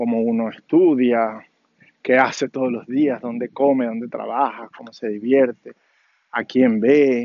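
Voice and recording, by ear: A man speaks slowly at a medium pitch. His intonation is fairly even.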